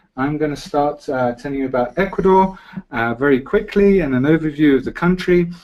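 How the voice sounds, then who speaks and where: A man with a British accent speaks at a fairly quick pace and fairly high pitch, with ordinary pitch variation. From Britain. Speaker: travel presenter. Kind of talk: webinar presentation. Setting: online webinar.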